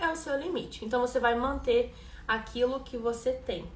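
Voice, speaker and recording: A woman talks at a moderate pace. Audible room echo can be heard. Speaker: rhythmic gymnastics coach. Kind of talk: live-stream class. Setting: Instagram live stream.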